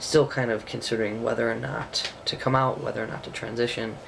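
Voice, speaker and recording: A soft-spoken man talks over noticeable background noise, with audible echo in the room. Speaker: video blogger. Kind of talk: vlog monologue. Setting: bedroom at home. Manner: quiet, soft-spoken.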